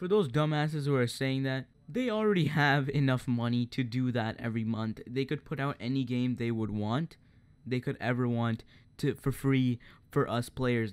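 A man with an unremarkable speaking voice talks at medium pitch and a moderate pace. His pitch varies in an ordinary way, and the recording is very clean with a silent background. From Canada.

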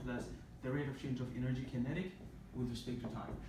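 A man is heard with audible room echo and noticeable background noise. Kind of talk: lecture. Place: classroom. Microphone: camera far.

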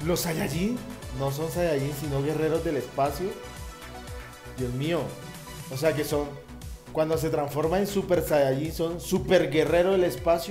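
A man's fairly high voice at a fairly slow pace, with ordinary pitch variation, long, frequent pauses and clear music in the background. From Colombia. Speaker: YouTube reactor. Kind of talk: casual reaction talk to camera. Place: home room. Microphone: headset.

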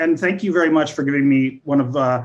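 At a fast pace, a man talks at medium pitch with ordinary pitch variation.

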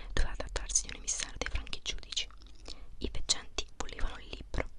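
Whispering at a fairly quick pace, a woman speaks. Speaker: ASMR creator. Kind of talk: ASMR book reading, whispered to help sleep. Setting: close microphone, mouth sounds. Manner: whispered, soft-spoken. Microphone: studio mic.

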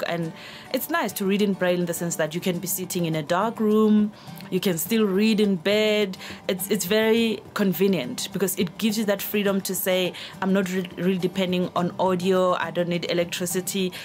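Faint music plays in the background as a woman speaks at a moderate pace with fairly even intonation. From South Africa. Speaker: journalist and radio news reader. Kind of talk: interview answer about reading. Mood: warm, reflective. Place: studio.

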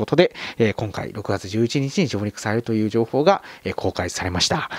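The background is quiet and the sound is dry, with no echo. A man speaks fairly quickly. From Kagawa, Shikoku, Japan. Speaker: film YouTuber. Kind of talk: video monologue explaining a streaming service. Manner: polite, somewhat formal with fillers. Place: home room. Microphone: handheld.

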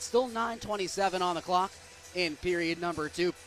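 A man speaks in an excited tone at a high pitch. Music plays in the background. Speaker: hockey play-by-play broadcaster. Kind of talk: live radio hockey play-by-play call. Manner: fast, excited.

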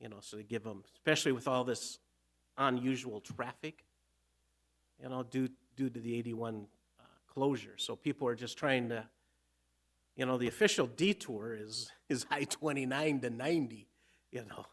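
A man speaks at a moderate pace and medium pitch, his tone fairly bright, leaving long, frequent pauses.

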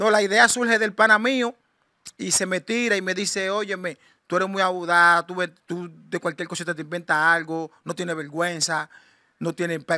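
A high-pitched man with a bright, sharp tone and fairly even intonation, in a dry sound with no echo against a quiet background. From Dominican Republic. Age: 40s. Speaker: shipwreck survivor. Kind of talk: interview testimony. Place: home room. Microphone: handheld.

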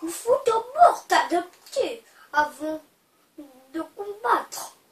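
A woman's put-on character voice, extremely high and very slow, with audible echo. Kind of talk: casual unboxing commentary.

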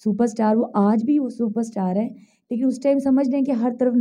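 A woman's fairly high voice with a dark, mellow tone, fairly even intonation and a fairly slow pace, over a quiet background. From Pakistan. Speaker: stage actress and dancer; stage actress. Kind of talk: interview. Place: home room. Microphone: handheld.

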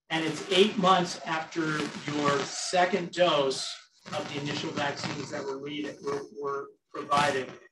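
A man's fairly high voice at a moderate pace with fairly even intonation, over noticeable background noise. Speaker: university president. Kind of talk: campus update address with Q&A. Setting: stage with audience, streamed on Zoom. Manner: loud. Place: meeting room.

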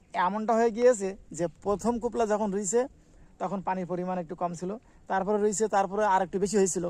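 A man talks in a high pitch. His intonation stays fairly even. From Bangladesh, border area near the Sonai river. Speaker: village life vlogger. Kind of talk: walking video tour, addressing viewers. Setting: outdoors in rice fields.

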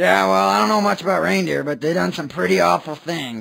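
A man's raspy, fairly low put-on character voice at a fairly quick pace, with very wide pitch swings. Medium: cartoon.

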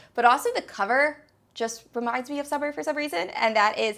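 A woman speaks at a very fast pace in a high-pitched voice. Her tone is bright and sharp, and her voice is raised and projected. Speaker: book reviewer. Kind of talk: casual talk to camera. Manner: upbeat, chatty.

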